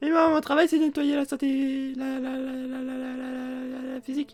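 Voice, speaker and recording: A high-pitched, put-on character voice speaks in an anxious tone at a moderate pace. Its intonation is monotone and flat. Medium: actual play. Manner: anxious, repetitive, stammering.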